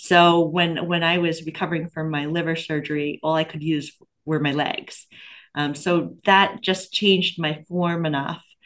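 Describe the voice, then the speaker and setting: A woman with an American accent speaks at a fairly slow pace. Her fairly low voice stays monotone and flat. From Pennsylvania. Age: 50s. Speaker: flight attendant and amateur runner. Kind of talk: interview.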